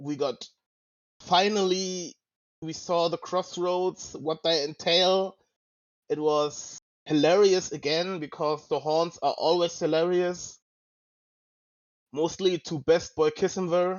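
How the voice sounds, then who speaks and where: Long, frequent pauses break up this man's very slow speech, delivered at a high pitch with fairly even intonation. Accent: non-native. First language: not English. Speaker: podcast host. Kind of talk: casual discussion. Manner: halting, searching for words.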